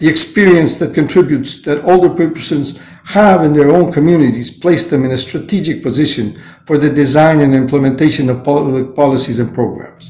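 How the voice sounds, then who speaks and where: Somewhat breathy and fairly high-pitched, a man talks at a fairly quick pace with ordinary pitch variation. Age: 70s. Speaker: UN training official. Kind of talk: prepared speech. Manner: halting.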